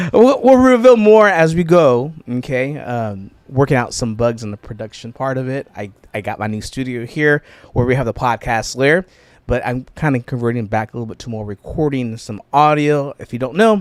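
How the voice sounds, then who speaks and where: In a very clean recording with a silent background, a man with an ordinary speaking voice talks at a moderate pace and medium pitch, with lively intonation and big swings in loudness. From California Central Valley (Mendota area). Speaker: podcast producer and musician. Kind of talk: casual chat interview. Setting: home recording studio.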